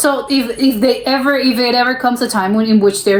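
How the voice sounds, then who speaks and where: A woman talks at a fairly quick pace with an American accent. Noticeable background noise is present. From United States. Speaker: reaction youtuber. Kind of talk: casual reaction commentary. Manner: halting, many restarts and repetitions.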